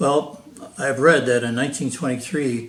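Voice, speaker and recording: A man speaks with an American accent at a moderate pace, his pitch in the middle range and its variation ordinary. The room echo is audible, and background noise is noticeable. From Wisconsin, US Midwest. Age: 90s. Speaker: war veteran. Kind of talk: interview. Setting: at home, filmed by daughter.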